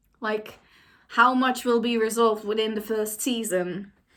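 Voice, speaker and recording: Speaking at a moderate pace with a non-native accent, a woman has a bright, sharp tone and ordinary pitch variation. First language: not English. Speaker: YouTuber. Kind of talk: reaction commentary. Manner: casual, hesitant with fillers.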